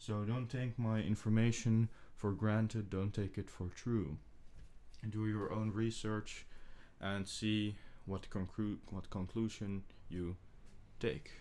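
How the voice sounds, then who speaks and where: A man with a non-native accent speaks very slowly, leaving long, frequent pauses. His fairly low voice has a dark, mellow tone and fairly even intonation. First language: not English. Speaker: ASMR creator. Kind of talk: soft-spoken ASMR ramble. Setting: binaural microphone setup, home recording. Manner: soft-spoken. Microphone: two microphones spaced far apart for binaural test.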